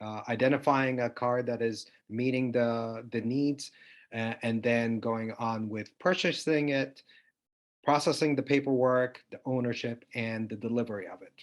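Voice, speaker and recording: Against a quiet background, a man with a normal speaking voice talks at a moderate pace and medium pitch, with fairly even intonation but big swings in loudness. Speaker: startup founder. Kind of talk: pitch discussion.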